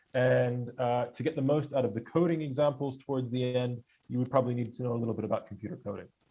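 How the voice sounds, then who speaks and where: The voice has a dark, mellow tone, somewhat breathy, moving at a very fast pace with fairly even intonation. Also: man, medium pitch for a man. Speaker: user group presenter. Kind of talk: technical presentation. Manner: halting with fillers.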